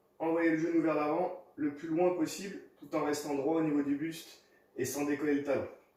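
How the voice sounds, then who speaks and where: A man speaks at a moderate pace. The room echo is audible, and there is noticeable background noise. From US Midwest (South Dakota). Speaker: fitness coach. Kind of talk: workout tutorial. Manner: instructive, paced.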